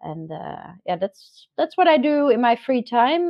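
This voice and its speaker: A woman with a Dutch accent at a fairly slow pace. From Netherlands, South Holland. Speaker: digital marketer. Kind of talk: podcast interview. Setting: video call from home garden. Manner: hesitant, many fillers.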